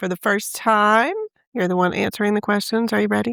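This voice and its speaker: In a dry, close sound with no echo on a very clean recording with a silent background, a woman with a Southern US accent speaks at a fairly high pitch with fairly even intonation. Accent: Southern drawl. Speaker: branding and social media expert. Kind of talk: interview questions.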